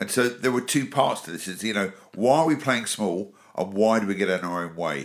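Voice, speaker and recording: Speaking at a fairly quick pace, a man with an English accent uses lively intonation. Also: fairly low pitch for a man. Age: 50s. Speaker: podcast host, business speaker and author. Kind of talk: casual chat.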